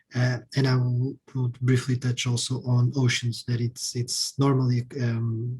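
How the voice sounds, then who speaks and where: A man speaks in a monotone with flat intonation. His voice is somewhat breathy. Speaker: member of European Parliament. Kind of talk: panel talk.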